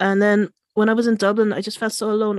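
A woman speaks at a moderate pace with a Limerick accent. The sound is dry and close, with no echo. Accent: Irish (Limerick). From Ireland, Limerick (Irish-born Chinese). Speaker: coder and tech events organizer. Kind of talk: interview conversation. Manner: hesitant, many fillers.

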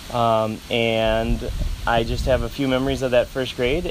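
Over noticeable background noise, a man with a medium pitch speaks at a fairly slow pace in a monotone, flat intonation. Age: 40s. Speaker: parent of host. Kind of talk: casual interview.

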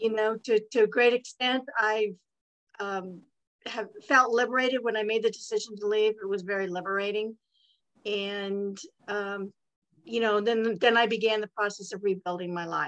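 The speaker has a West Coast US accent and moves at a moderate pace. Intonation stays fairly even. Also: woman, fairly high pitch for a woman. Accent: General American, West Coast. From California. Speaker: author. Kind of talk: interview.

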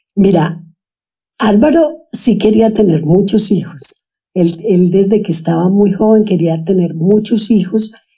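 Dark, mellow, somewhat breathy woman's voice at medium pitch, very even in loudness, fairly slow, with ordinary pitch variation. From Colombia, Antioquia (Sonsón). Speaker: stay-at-home mother, former nurse. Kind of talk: interview conversation.

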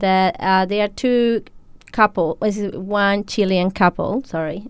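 In a Spanish accent, a woman speaks at a medium pitch. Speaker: cafe owner. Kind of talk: radio interview. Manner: halting.

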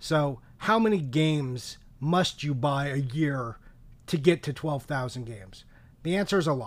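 Recorded very cleanly against a silent background, a plain, everyday voice speaks at a fairly slow pace. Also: man, fairly high pitch for a man, lively intonation. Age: 40s. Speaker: video game collector and podcaster. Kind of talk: casual chat.

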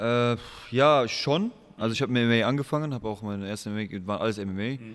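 A man talks at a fairly quick pace with ordinary pitch variation. It is a plain, everyday voice. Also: medium pitch for a man. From Germany, Aachen. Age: 20s. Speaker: MMA fighter. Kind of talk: casual interview.

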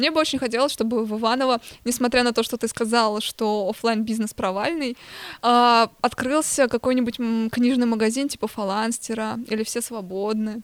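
A plain, everyday voice from a woman, pitched fairly high, at a moderate pace. Her intonation stays fairly even. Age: young. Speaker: artist and museum researcher. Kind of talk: casual chat.

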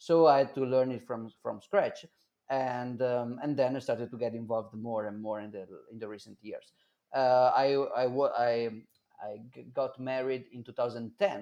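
A man's medium-pitched voice with an Italian accent, dark and mellow in tone, fairly even in intonation, fairly slow, with big swings in loudness. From Italy, Milan. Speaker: Bitcoin advocate. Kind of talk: interview.

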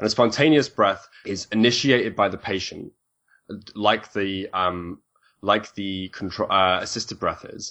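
A man with a British accent, fairly low in pitch, fairly slow, with ordinary pitch variation. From UK. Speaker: respiratory therapist. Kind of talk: interview, technical explanation.

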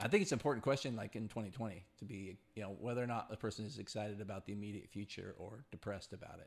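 With a fairly low pitch and ordinary pitch variation, a man talks at a very fast pace with hardly any pauses and big swings in loudness, on a very clean recording with a silent background. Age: 40s. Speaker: podcast host. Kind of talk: casual chat.

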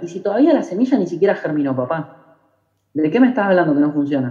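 Here a man speaks fairly quickly in a dark, mellow tone with lively intonation. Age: 20s. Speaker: network marketing trainer. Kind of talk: motivational talk. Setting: video call.

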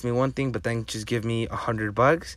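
A man's medium-pitched voice at a fairly quick pace with fairly even intonation. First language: Spanish. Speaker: podcast host. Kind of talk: solo podcast monologue. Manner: casual, halting with frequent fillers.

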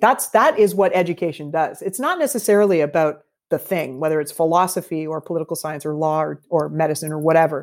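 With a Canadian accent, a woman talks in a plain, everyday voice at a moderate pace with ordinary pitch variation, in a very clean recording with a silent background. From Canada. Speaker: bartender and bitters company founder. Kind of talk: interview.

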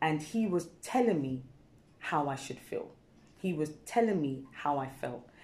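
A woman with a British accent, very deep, low pitch, lively intonation and a fairly slow pace. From England, Ghanaian heritage. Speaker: wellness practitioner and dancer. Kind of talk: casual interview chat. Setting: studio.

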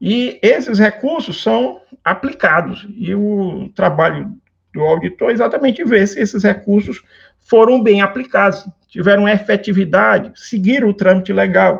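At a fairly slow pace, a man talks at a high pitch with ordinary pitch variation. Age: 50s. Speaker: civil engineer and public works auditor. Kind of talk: interview.

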